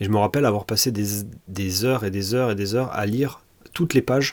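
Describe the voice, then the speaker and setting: A fairly quick man's voice, fairly low in pitch, with ordinary pitch variation. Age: 30s. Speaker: tech podcaster. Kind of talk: casual solo monologue. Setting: home office. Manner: hesitant with frequent fillers.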